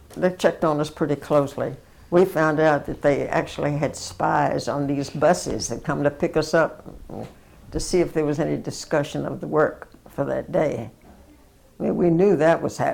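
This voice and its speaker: This voice has a Southern US accent and moves at a moderate pace. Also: woman. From US South. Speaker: war veteran. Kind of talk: interview.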